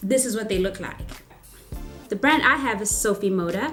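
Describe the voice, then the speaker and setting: Music plays in the background as the voice moves at a moderate pace with ordinary pitch variation. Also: woman. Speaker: product reviewer. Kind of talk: casual product review to camera.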